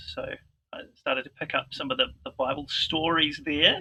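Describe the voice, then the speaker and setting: The speaker uses a fairly slow pace in a New Zealand accent. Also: man. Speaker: vicar. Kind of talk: interview.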